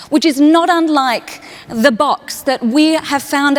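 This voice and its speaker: Noticeable background noise runs under a woman speaking with an Australian accent. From Australia, Perth. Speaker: human connection speaker. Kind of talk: keynote talk. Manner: animated storytelling.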